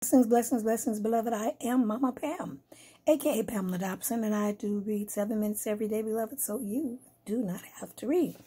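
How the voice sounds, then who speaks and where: A woman with a fairly high pitch speaks very fast, her tone dark and mellow and somewhat breathy. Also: ordinary pitch variation. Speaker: bible reader. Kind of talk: reading aloud.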